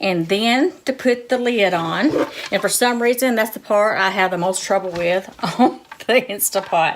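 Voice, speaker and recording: A woman's medium-pitched voice with a Southern US accent, ordinary pitch variation and a moderate pace, over noticeable background noise. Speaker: cooking vlogger. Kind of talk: cooking tutorial. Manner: casual, chatty.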